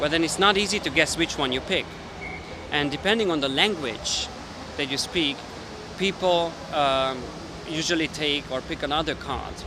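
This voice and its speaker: A man with a Hungarian accent and a fairly high pitch, moderate pace, ordinary pitch variation, long and frequent pauses, and noticeable background noise. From Hungary. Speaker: magician and language video maker. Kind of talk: casual explainer talk. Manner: halting, many fillers.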